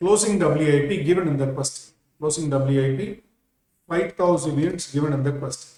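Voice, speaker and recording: A man with a fairly high pitch and ordinary pitch variation speaks in a dark, mellow, somewhat breathy tone. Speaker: accounting teacher. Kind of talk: lecture. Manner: slow; repetitive.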